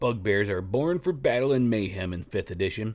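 A man speaks at a moderate pace in a plain, everyday voice, his fairly low pitch moving with ordinary variation. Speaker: tabletop gaming podcast host. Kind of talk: scripted narration of monster lore and fiction. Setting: solo podcast recording. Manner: steady, narrator-like, measured delivery.

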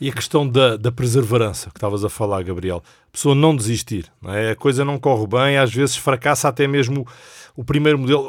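A man's medium-pitched, normal speaking voice at a fairly quick pace, with ordinary pitch variation, on a very clean recording with a silent background. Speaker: executive director of a Bible society. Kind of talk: casual chat. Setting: studio.

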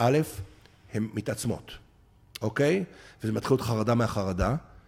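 The man's voice has a dark, mellow tone at a medium pitch. Its pitch moves in an ordinary way. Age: 50s. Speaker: applied anthropologist. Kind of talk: interview.

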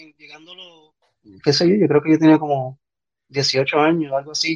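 The sound is dry and close with no echo. A man speaks at a fairly high pitch. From Puerto Rico. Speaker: podcast guest. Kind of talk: casual chat. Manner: halting.

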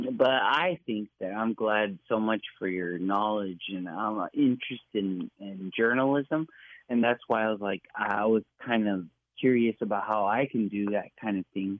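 A man speaks in an unremarkable speaking voice at a fairly low pitch. His pace is fairly slow, with ordinary pitch variation. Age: 40s. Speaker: caller. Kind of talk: radio call-in.

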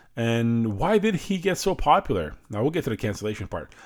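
Talking at a very fast pace, a man swings his pitch very widely. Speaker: entertainment podcast host. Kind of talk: solo commentary. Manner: casual, opinionated.

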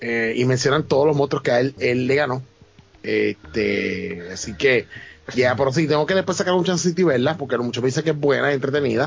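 Talking at a fairly quick pace with lively intonation, a man uses an ordinary speaking voice at medium pitch. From Puerto Rico, Ponce. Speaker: podcast co-host. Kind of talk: casual chat.

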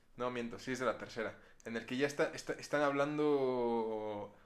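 With a normal speaking voice, a man talks at a fairly slow pace in a medium pitch, using ordinary pitch variation. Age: 20s. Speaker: film podcast host. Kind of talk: casual chat.

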